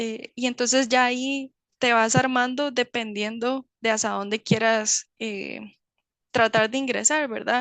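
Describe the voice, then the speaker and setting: Dry and close with no echo, a woman's fairly high voice comes at a fairly slow pace in a monotone, flat delivery over a quiet background. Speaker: chemist in medical device industry. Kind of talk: webinar Q&A talk. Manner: hesitant, many fillers.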